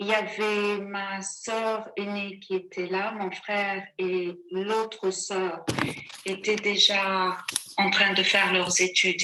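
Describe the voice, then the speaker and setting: A woman speaks very slowly at a medium pitch. Her intonation is monotone and flat. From Sudan, Khartoum. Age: 60s. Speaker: witness. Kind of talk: testimony.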